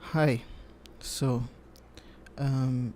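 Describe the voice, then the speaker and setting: A soft-spoken man talks in a calm tone at medium pitch. His voice has a dark, mellow tone and fairly even intonation. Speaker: psychologist. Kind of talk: ASMR sleep counseling roleplay. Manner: soft-spoken, calm.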